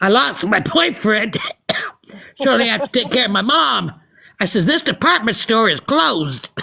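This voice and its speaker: A bright, sharp voice with vocal fry moves at a moderate pace, swinging very widely in pitch at very even loudness, with long, frequent pauses. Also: woman, fairly high pitch for a woman. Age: 60s. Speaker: social media livestreamer. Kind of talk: casual chat. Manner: animated.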